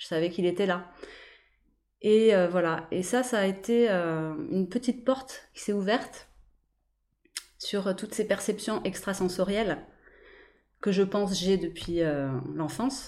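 A woman speaks at a medium pitch and a fairly slow pace, with ordinary pitch variation and long, frequent pauses. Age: 40s. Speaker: hypnotherapist and energy healer. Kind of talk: interview.

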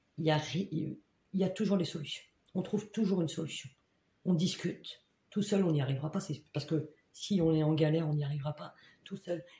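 A woman's somewhat breathy, dark, mellow voice, fairly low in pitch, at a fairly quick pace with long, frequent pauses and fairly even intonation. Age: 50s. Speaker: job integration counselor. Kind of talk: casual interview.

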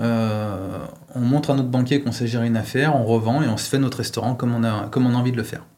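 Over noticeable background noise and audible room echo, a man speaks very fast with fairly even intonation. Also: medium pitch for a man. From France, Lyon. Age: 40s. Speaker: pizza chef and franchise owner. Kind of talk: interview. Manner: hesitant, many fillers.

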